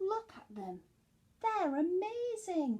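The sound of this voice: A woman's put-on character voice, extremely high in pitch yet dark and mellow in tone, with big pitch swings and a slow pace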